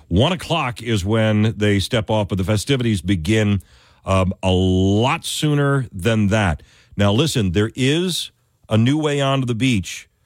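A man with an unremarkable speaking voice talks fairly slowly at a fairly low pitch, lively in intonation yet very even in loudness. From upstate New York. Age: 50s. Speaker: fill-in radio talk show host. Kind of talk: call-in talk radio.

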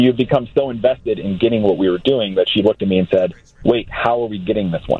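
Speaking at a very fast pace, a man uses a medium pitch. His pitch varies in an ordinary way. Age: 20s. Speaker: foster care nonprofit director. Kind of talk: interview. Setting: phone call.

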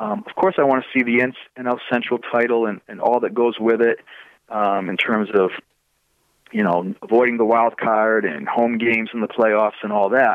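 In a Massachusetts accent, a man speaks at a moderate pace and medium pitch with fairly even intonation. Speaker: baseball prospect analyst. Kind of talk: casual chat.

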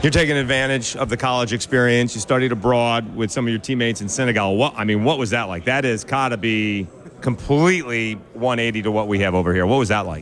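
Talking at a very fast pace with hardly any pauses, a man at medium pitch shows ordinary pitch variation over noticeable background noise. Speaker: sports radio host. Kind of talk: radio interview.

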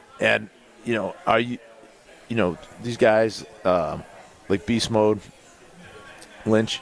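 A fairly low-pitched man at a very slow pace, with fairly even intonation, long and frequent pauses, and noticeable background noise. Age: 40s. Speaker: former NFL player and football analyst. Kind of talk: casual sports talk. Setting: live show at a pub.

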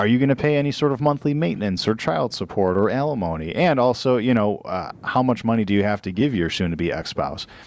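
A man speaks at a very fast pace at medium pitch, with hardly any pauses and lively intonation. The recording is very clean with a silent background. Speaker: mortgage loan consultant, co-host. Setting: radio studio. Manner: conversational, agreeable.

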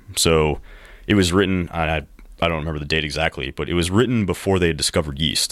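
Over a silent background in a very clean recording, a man with an American accent speaks very fast in a very deep, low pitch with ordinary pitch variation. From US Midwest, rural Missouri. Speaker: brewery co-owner and army veteran. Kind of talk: casual chat. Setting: studio.

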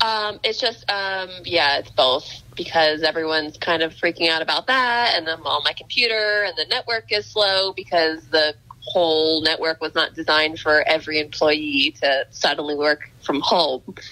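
A woman with a plain, everyday voice talks at a moderate pace with hardly any pauses. Her pitch is fairly low, with ordinary pitch variation. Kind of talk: casual chat. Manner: uses filler 'like' a lot.

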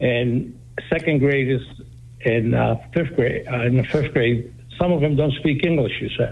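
Speaking with a Greek accent, a man holds a medium pitch. His pace is fairly slow and his intonation fairly even. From Greece, raised in New Bedford. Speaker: radio caller. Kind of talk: call-in comment.

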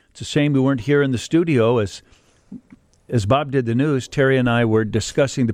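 Delivered at a moderate pace with ordinary pitch variation, an ordinary speaking voice comes through on a very clean recording with a silent background. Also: man. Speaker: radio host. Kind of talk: radio talk show. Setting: radio studio.

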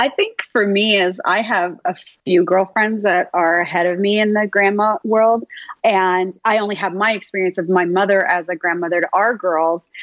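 With a Canadian accent, an unremarkable speaking voice keeps a very even loudness throughout. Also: woman, medium pitch for a woman, fairly even intonation, moderate pace. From Toronto, Canada. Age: 50s. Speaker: author. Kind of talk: interview.

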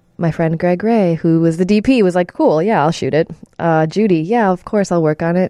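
A woman speaks with an American accent at a fairly low pitch. Her tone is dark and mellow. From Chicago suburbs. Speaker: film director and editor. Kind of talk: casual interview.

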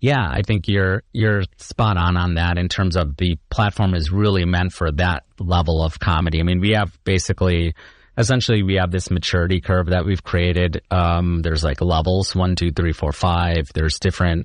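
In a quiet setting, a man with an American accent speaks at a moderate pace in a very deep, low pitch, his loudness very even and his intonation fairly even. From Chicago. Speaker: comedian and technology consultant. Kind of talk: casual chat.

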